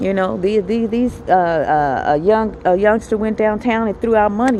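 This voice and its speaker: Over noticeable background noise, a woman with a medium pitch speaks in an animated tone at a moderate pace. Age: 50s. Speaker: vlogger. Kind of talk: personal video diary.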